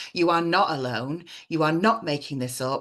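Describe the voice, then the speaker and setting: The speaker has an English accent. Pitch variation is ordinary. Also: woman. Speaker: parent coach and author. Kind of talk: online workshop presentation. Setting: live online stream. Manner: fast.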